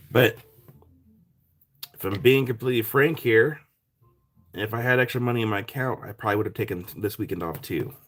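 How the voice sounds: In a raspy, put-on character voice, a man speaks at a medium pitch and a fairly quick pace, broken by long, frequent pauses.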